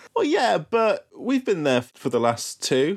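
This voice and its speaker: The voice has a British accent. The pace is fairly slow. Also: man. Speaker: podcast host. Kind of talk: casual comedic banter.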